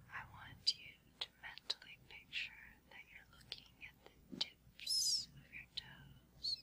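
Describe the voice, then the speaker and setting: Someone whispers at a very slow pace in a soothing tone. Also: woman. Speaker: hypnotist. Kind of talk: hypnosis induction for sleep. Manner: whispered, slow, soothing. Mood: calm, soothing. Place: studio.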